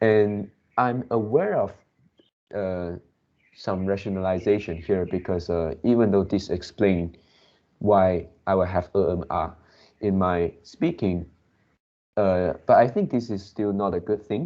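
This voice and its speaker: A man with a non-native accent and a fairly low pitch, at a fairly slow pace with ordinary pitch variation and long, frequent pauses. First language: not English. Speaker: English learner. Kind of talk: casual chat. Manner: slow, hesitant with many fillers; pauses to search for words.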